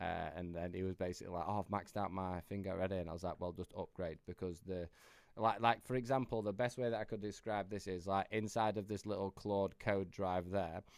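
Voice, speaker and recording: With a Yorkshire accent, a man talks at a fairly quick pace. His very deep, low voice keeps a fairly even intonation. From Yorkshire, northern England. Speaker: AI business coach. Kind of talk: tutorial. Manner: casual, filler-heavy.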